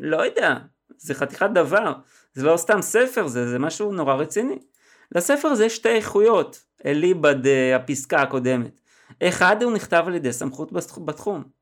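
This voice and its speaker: The recording is very clean, with a silent background. The pitch swings very widely at a moderate pace. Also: man, high pitch for a man. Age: 50s. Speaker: copywriter and podcast host. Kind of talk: solo podcast analysis of an advertisement.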